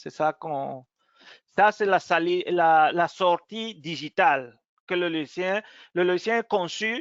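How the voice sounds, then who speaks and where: A man with a non-native accent speaks very slowly in a high voice, his pitch moving up and down in an ordinary way. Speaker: technical support engineer. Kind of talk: software webinar demo. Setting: online webinar. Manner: halting.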